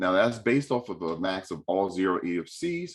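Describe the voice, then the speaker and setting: With a New York accent, this man speaks in a fairly low pitch, his tone animated and his intonation lively. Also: very clean recording, silent background. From New York City. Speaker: state financial aid representative. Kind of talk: panel presentation. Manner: fast.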